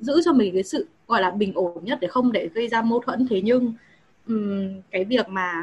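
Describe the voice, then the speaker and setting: A moderate pace carries the speech along. The voice sounds somewhat breathy, and its pitch varies in an ordinary way. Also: woman, fairly high pitch for a woman. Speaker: university student, audience member. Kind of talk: audience question. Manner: halting.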